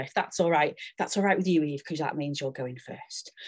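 The background is quiet. Pitch variation is ordinary. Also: woman. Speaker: event host and organiser. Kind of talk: hosting an online event. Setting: video call. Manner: animated, chatty. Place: home room. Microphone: webcam.

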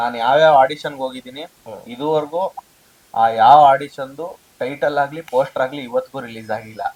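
A man speaks in an ordinary speaking voice, pitched fairly high, with fairly even intonation. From India, Karnataka (K R Pete, Mandya district). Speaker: actor. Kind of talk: interview.

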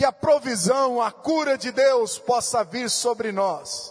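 In a quiet setting, a man's very slow speech shows ordinary pitch variation. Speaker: pastor. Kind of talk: sermon. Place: church. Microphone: handheld.

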